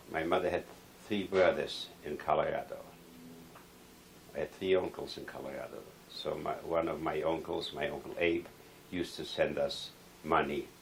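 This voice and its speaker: A man talks at a moderate pace, leaving long, frequent pauses, while noticeable background noise carries on. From Poland. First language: Polish. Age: 70s. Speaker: Holocaust survivor. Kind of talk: oral history interview.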